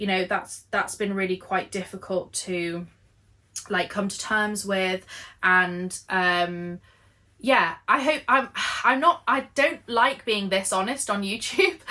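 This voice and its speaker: A woman speaks at a very slow pace, with an English accent and a medium pitch. Her tone is bright and sharp, and her pitch varies in an ordinary way. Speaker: knitting and lifestyle vlogger. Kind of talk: casual chat.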